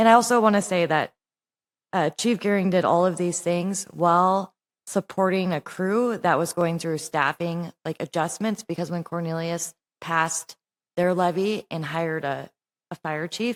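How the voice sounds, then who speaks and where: A woman with a normal speaking voice talks at a moderate pace in a fairly low pitch, her intonation fairly even, on a very clean recording with a silent background and a dry, close sound with no echo. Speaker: city council presiding member. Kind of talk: council meeting discussion. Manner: casual, filler-heavy speech.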